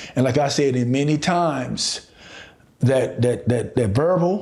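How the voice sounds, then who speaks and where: A fairly high-pitched man with an American accent and ordinary pitch variation, in audible room echo. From Chicago, US. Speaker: relationship and recovery coach. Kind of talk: motivational podcast monologue.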